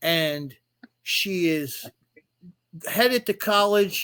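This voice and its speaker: A man speaks at a very slow pace in a high pitch with ordinary variation. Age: 60s. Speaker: author and non-custodial father. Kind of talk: casual chat. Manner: halting, many repetitions.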